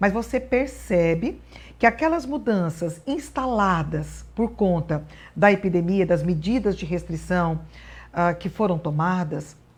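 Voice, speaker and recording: This woman talks at a fairly slow pace. There is a somewhat breathy quality to her voice. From Brazil, northern Paraná. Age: 60s. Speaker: appellate judge. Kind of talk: interview.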